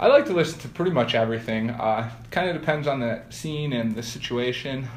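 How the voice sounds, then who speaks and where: Fairly quick speech from a man with an American accent, against noticeable background noise. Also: medium pitch for a man, ordinary pitch variation. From Boulder, Colorado, USA. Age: 20s. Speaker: professional triathlete. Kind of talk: interview answer.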